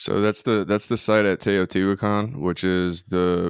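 With a Louisiana accent, a man speaks at a moderate pace in a very deep, low, monotone voice with flat intonation. The sound is dry and close with no echo, over a quiet background. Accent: Louisiana Southern US. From US South, Louisiana. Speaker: musician. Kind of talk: casual chat.

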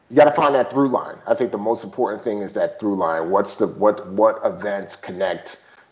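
With an American accent, a man speaks at a moderate pace and medium pitch. There are hardly any pauses, and background noise is noticeable. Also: lively intonation. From Bronx, New York City. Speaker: former navy special forces, author and actor. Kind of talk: interview.

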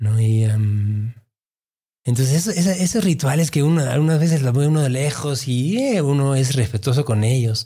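A man with a medium pitch speaks at a moderate pace with lively intonation, somewhat breathy and in a dark, mellow tone. The recording is very clean, with a silent background. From Mexico City (raised), born in Peru. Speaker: investor and healthcare executive. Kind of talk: interview, personal testimony. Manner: halting, many fillers.

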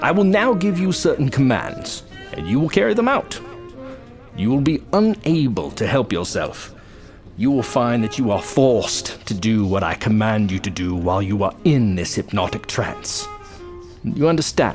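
Over clear music in the background, a man of medium pitch speaks at a moderate pace with very wide pitch swings. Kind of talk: 1940s radio serial villain. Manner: smooth, menacing, hypnotic.

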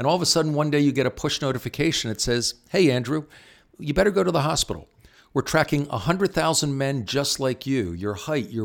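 With a Philadelphia accent and lively intonation, a man talks fairly quickly at a fairly high pitch on a very clean recording with a silent background. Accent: Philadelphia American. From Philadelphia, US. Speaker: tech company CEO. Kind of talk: interview.

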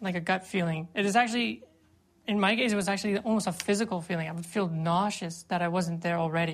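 A woman speaks at a fairly quick pace with a medium pitch. Her pitch varies in an ordinary way. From Canada. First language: English (speaking French). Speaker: former volunteer fighter against ISIS. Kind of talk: interview.

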